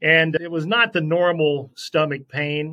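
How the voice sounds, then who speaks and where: A man with a bright, sharp tone. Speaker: sportscaster. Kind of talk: interview, personal testimony.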